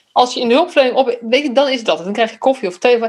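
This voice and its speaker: High pitch from a female speaker. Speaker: podcast host, youth care professional. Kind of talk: casual interview conversation.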